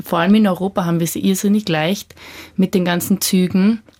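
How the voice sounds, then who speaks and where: Her delivery is monotone and flat. The woman speaks at a medium pitch and a moderate pace. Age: 20s. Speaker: young student-age panelist. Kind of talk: radio panel discussion.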